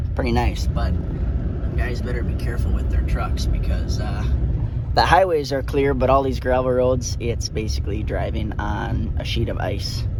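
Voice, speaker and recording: Delivered at a moderate pace, the speech carries audible room echo. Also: man. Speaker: farmer. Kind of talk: educational video for schoolchildren. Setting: outdoors on a farm. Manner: casual, chatty with fillers.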